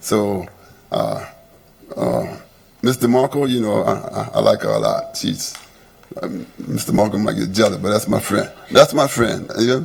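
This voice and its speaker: With an American accent, a man speaks at a moderate pace, leaving long, frequent pauses over noticeable background noise. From Louisiana, Plaquemines Parish. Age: 70s. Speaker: resident speaking at public comment. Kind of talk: public comment at council meeting. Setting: council meeting chamber. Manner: halting, many fillers and repeats.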